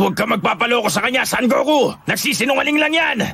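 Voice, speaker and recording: A man speaks at a very fast pace in a put-on character voice with an extremely high pitch. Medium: fan dub. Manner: gruff, curt.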